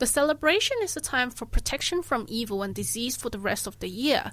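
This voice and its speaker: A woman talks at a moderate speed with vocal fry on a very clean recording with a silent background. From southern China. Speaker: community radio host. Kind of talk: radio show translation and explanation. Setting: radio studio. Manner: frequent hesitations (um).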